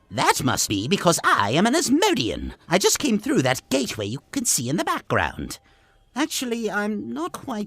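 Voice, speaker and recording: A man puts on a character voice and keeps a moderate pace. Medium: machinima. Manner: polite, chatty, goofy.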